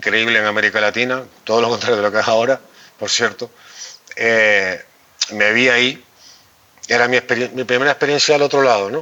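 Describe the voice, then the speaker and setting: Noticeable background noise sits behind a man with a Canarian accent. His intonation is fairly even, broken by long, frequent pauses. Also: medium pitch for a man. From Canary Islands. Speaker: journalist and political communication consultant. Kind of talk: interview conversation. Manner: halting, with self-corrections.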